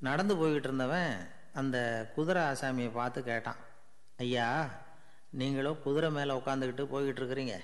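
His intonation is fairly even. The speaker is a man with a medium pitch. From Tamil Nadu, India. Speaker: radio broadcaster and storyteller. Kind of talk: humorous anecdote telling. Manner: easy, simple colloquial style.

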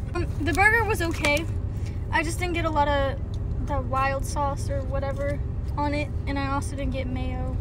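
Loud background noise runs behind the speech. A woman talks at a moderate pace. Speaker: social media creator. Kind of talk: casual vlog chat, food review. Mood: casual, mildly critical. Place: car. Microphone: phone near.

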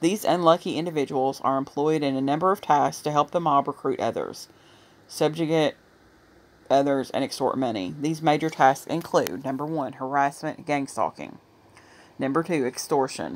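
A woman talks in a very deep, low voice with an American accent and ordinary pitch variation. Her pace is moderate, on a very clean recording with a silent background. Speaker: video blogger. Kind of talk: casual commentary video. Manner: casual, chatty.

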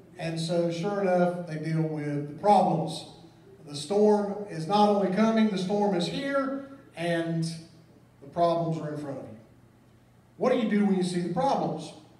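A man with a high pitch at a moderate pace, big swings in loudness, and long, frequent pauses, with audible room echo. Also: ordinary pitch variation. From US South. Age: 40s. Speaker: pastor. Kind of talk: sermon. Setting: church. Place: church.

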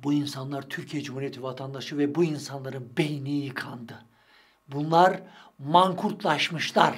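A man speaks at a moderate pace with fairly high pitch and ordinary pitch variation against a quiet background. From Turkey. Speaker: street interviewer and political commentator; street interviewer, political commentator. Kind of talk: monologue commentary on interview clips. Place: studio.

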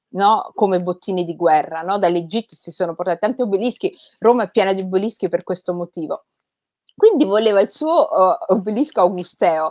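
A woman talks at a fairly quick pace in an ordinary speaking voice. Her pitch sits in the medium range, with ordinary variation. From Rome, Italy. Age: 40s. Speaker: writer. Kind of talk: interview conversation.

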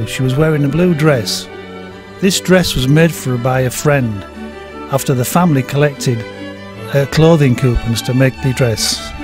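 Music plays in the background as a man with a medium pitch speaks at a moderate pace with ordinary pitch variation and long, frequent pauses. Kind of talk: documentary narration.

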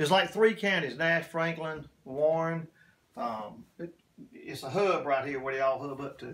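Speaking at a fairly slow pace, this man's voice shows big swings in loudness. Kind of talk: interview answer. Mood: relaxed, casual. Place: workshop. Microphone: phone near.

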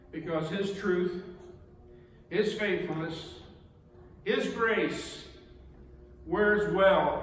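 Audible room echo surrounds a man with a high voice. He talks at a very slow pace with fairly even intonation. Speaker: preacher. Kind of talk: sermon. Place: church.

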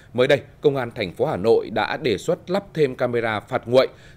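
A man at a moderate pace. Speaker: TV news anchor. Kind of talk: news reading. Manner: formal. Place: studio.

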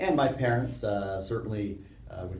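A man talks at a fairly slow pace in a fairly low voice. Audible room echo and light background noise are present. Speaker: interviewee, theology professor. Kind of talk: interview answer. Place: studio.

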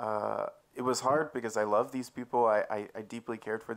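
The speaker is a man. His pitch sits fairly low. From Texas. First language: English (speaking Czech). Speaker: church member giving testimony. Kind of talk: testimony. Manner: halting. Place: tent. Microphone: handheld.

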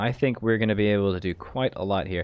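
A man speaks at a fast pace. His pitch sits fairly low. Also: ordinary pitch variation.

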